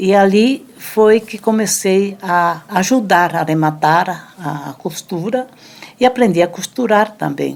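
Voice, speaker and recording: A woman speaks at a medium pitch. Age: 70s. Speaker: elderly woman sharing life story. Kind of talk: testimony. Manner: halting.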